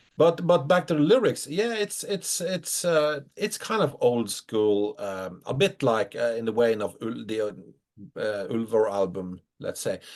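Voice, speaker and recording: With a Norwegian accent, a man speaks fairly slowly at medium pitch, his pitch swinging very widely. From Norway. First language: Norwegian dialect. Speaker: metal musician. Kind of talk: interview. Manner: halting.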